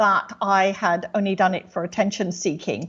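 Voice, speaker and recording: A woman with an English accent, somewhat breathy, at medium pitch and moderate pace, against a quiet background. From England. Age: 60s. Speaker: clairvoyant medium. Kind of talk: interview.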